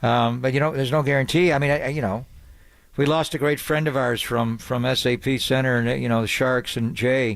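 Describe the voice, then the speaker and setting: An ordinary speaking voice from a man, medium in pitch, fairly quick, with very even loudness and fairly even intonation. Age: 60s. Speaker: sports radio host. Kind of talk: casual chat.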